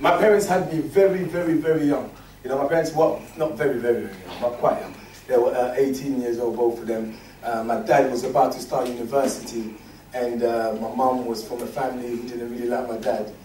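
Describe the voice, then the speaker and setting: A man talks at a fairly quick pace. Audible room echo and noticeable background noise surround his voice. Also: medium pitch for a man, ordinary pitch variation. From Congo, moved to UK at eight. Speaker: interview guest. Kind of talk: casual interview. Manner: animated, repetitive.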